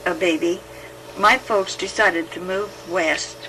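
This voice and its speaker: With an American accent, a woman speaks in lively intonation over noticeable background noise. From United States, Idaho. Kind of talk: oral history recollection. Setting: home tape recording.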